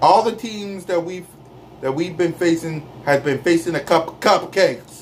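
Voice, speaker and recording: Loud and animated, a man speaks at a moderate pace in a high pitch with ordinary pitch variation, over light background noise. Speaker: sports fan vlogger. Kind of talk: angry rant. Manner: loud, indignant, repeating himself in heated bursts; defiant, sarcastic, animated. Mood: opinionated, ranting about team. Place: home room. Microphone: phone near.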